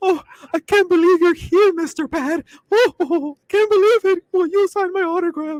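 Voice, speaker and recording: In a put-on character voice, a squeaky speaker talks at a moderate pace with an extremely high pitch. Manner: gushing, playful.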